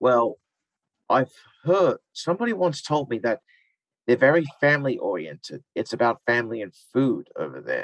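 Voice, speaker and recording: The speaker has an Australian accent and leaves long, frequent pauses, and the sound is dry and close with no echo. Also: man, moderate pace. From Australia, Wollongong (New South Wales). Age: 20s. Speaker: reality TV participant. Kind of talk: interview.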